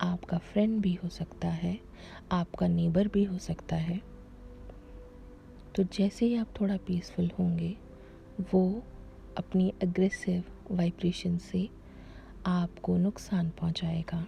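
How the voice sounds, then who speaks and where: The voice has a calm tone, with long, frequent pauses. Music plays in the background. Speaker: affirmation and wellness creator. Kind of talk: spoken introduction to guided affirmations.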